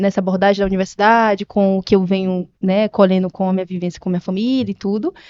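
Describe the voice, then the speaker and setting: A woman with a dark, mellow tone talks very fast in a monotone, flat delivery, with hardly any pauses. The sound is dry and close with no echo, over a quiet background. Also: medium pitch for a woman. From Brazil, Maranhão and Piauí (Northeast). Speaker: nurse and health business owner. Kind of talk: podcast interview. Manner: halting, with many fillers.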